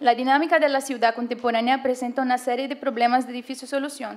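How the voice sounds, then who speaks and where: A woman's high-pitched voice in a monotone, flat intonation. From Brazil. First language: Portuguese (speaking Spanish). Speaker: conference presenter, urbanism graduate student. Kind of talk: academic presentation, read aloud. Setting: conference panel with audience. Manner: reading, halting.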